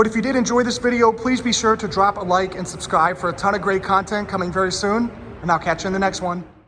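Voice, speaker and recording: A high-pitched man at a very fast pace, ordinary pitch variation, and noticeable background noise. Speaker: car reviewer. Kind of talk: POV test drive review. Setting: in a car.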